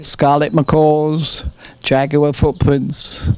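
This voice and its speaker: A man in an English accent, very slow and monotone with flat intonation, over noticeable background noise. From England. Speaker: retired farmer, war veteran. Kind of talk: interview. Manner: halting.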